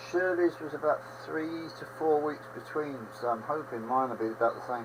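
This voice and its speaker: Noticeable background noise sits behind a man with an English accent whose fairly high voice shows ordinary pitch variation. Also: moderate pace. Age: 70s. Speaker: livestream host, railway modeller. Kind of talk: casual chat. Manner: rambling conversational.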